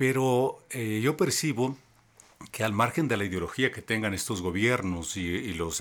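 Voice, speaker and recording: On a very clean recording with a silent background, a man's ordinary speaking voice moves at a moderate pace, with ordinary pitch variation. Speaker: journalist. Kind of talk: interview on faith and politics. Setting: recorded in Quito.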